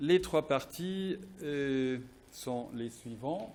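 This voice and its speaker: A man's medium-pitched voice, dark and mellow in tone, with ordinary pitch variation. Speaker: philosophy professor. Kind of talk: academic presentation read from text. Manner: halting, many hesitations; somewhat quiet.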